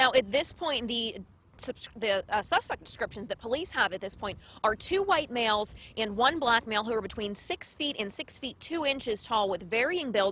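A woman at a moderate pace, in a dry sound with no echo. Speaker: TV news reporter. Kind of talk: live news report. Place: street.

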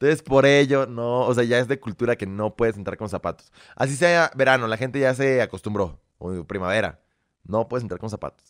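A man speaks at a fairly quick pace with ordinary pitch variation over a quiet background. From Belarus, raised in Mexico. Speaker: content creator. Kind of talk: casual chat. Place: studio. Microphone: studio mic.

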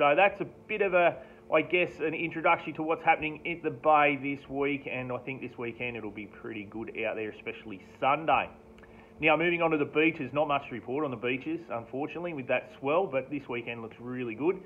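A man speaks at a fairly quick pace, his medium pitch showing ordinary pitch variation.

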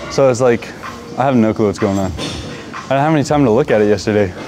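Clear music plays in the background as a man speaks. He talks very fast with ordinary pitch variation. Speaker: vlogger. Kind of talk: casual vlog chat. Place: gym. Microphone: lapel.

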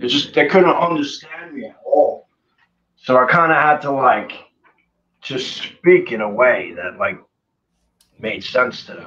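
Talking at a fairly slow pace, a man leaves long, frequent pauses while his loudness swings widely. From US, New Jersey. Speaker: punk singer; interview guest. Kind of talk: interview. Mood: relaxed, animated storytelling. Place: home room. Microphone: video call.

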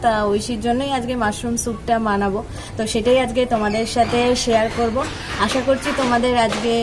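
A woman's monotone, flat delivery over music in the background. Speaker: home vlogger. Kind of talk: casual vlog chat. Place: home room. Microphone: phone near.

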